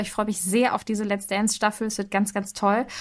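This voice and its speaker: At a very fast pace, the speech comes through in a very clean recording with a silent background. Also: woman. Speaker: podcast host. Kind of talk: casual chat. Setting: home office. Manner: changes pitch when mic on.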